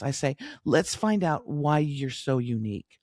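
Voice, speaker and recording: Speaking in an American accent, a woman uses a very deep, low pitch and lively intonation on a very clean recording with a silent background. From US West Coast, Los Angeles. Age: 60s. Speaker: business coach, former broadcast journalist. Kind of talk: interview conversation. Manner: hesitant, many fillers and restarts.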